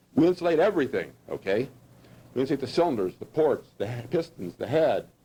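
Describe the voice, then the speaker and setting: At a very fast pace, a man with a fairly high voice, a dark, mellow tone and vocal fry speaks with lively intonation. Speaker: engineering lecturer. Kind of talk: lecture.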